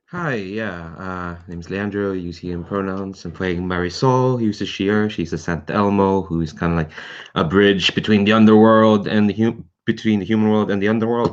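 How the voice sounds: Speaking at a moderate pace, a man uses a fairly low pitch and fairly even intonation.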